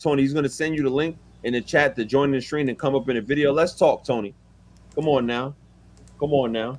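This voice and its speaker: With a strong New York accent, a man talks at a fairly quick pace in a fairly high pitch, leaving long, frequent pauses. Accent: thick New York. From New York City. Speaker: music producer. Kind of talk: casual chat. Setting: live stream. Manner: animated.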